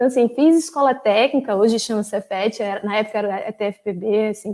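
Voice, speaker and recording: A woman with a northeastern Brazilian accent speaks at a fairly quick pace in a fairly high pitch, her dark, mellow tone moving with ordinary pitch variation. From Brazil, Paraíba (João Pessoa). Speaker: former graduate student, data governance specialist. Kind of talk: invited talk. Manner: hesitant, many fillers.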